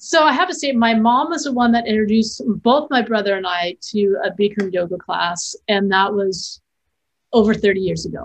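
A woman's normal speaking voice, fairly high in pitch, at a moderate pace with lively intonation. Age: 50s. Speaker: filmmaker and educator. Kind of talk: interview conversation.

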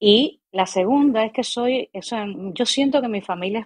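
A dry, close sound with no echo on a woman's voice. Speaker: actress and acting teacher. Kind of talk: casual interview chat. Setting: live stream. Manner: calm.

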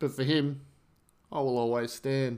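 At a moderate pace, a man with an Australian accent talks at a fairly high pitch. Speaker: podcast host. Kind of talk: reading aloud poetry; casual monologue.

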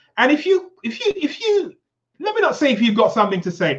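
A man with an animated tone at a fairly quick pace. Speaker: talk show host. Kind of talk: motivational live show chat. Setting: live stream video call. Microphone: new microphone with technical problems.

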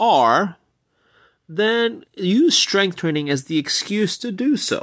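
A high-pitched man with lively intonation against a quiet background. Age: 30s. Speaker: fitness podcast host. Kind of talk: solo podcast monologue.

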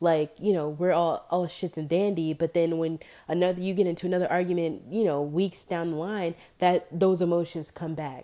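A woman talks at a moderate pace in a fairly low pitch with a dark, mellow tone. Her intonation stays fairly even, and the recording is very clean with a silent background. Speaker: podcaster. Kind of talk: casual monologue. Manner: casual, many fillers.

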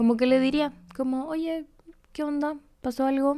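A woman with a Chilean accent talks in a dark, mellow tone. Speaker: podcast host. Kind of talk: advice show, reading listener letters. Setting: home recording. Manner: casual, chatty.

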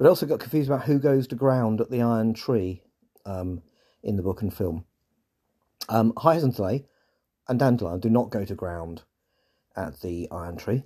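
In an English accent, the speaker uses lively intonation and a dark, mellow tone at a moderate pace with long, frequent pauses. The recording is very clean, with a silent background. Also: man, medium pitch for a man. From England. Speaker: podcast host. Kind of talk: scripted podcast narration with off-script commentary. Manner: informal, halting in the off-script part.

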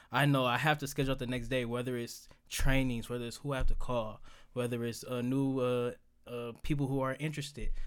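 A man speaks at a fairly quick pace and a medium pitch. His intonation is fairly even. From Detroit, Michigan (east side). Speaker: currency trader. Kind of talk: casual interview chat.

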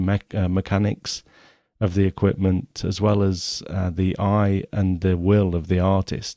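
At a fairly slow pace, a speaker in an English Midlands accent has a dark, mellow tone, with a dry, close sound with no echo over a quiet background. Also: man. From England, Nottingham. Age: 40s. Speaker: photography podcaster. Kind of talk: podcast monologue reading from document.

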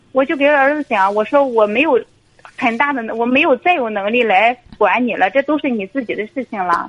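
Over noticeable background noise, a woman's high voice moves at a moderate pace with lively intonation, dry and close with no echo. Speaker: caller, divorced mother and civil servant. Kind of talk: phone-in personal story. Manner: halting, many fillers. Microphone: too quiet at first.

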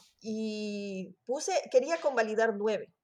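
Here a woman speaks with a fairly high pitch. Her pitch variation is ordinary. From Ecuador, Quito. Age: 40s. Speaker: sociology student. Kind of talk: interview. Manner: halting.

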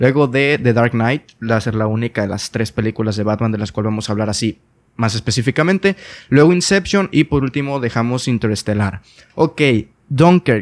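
A man talks at a fairly quick pace and medium pitch with lively intonation, in an unremarkable speaking voice. The recording is very clean with a silent background and a dry, close sound with no echo. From Mexico, Sinaloa. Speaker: podcast host. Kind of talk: casual chat. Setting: call.

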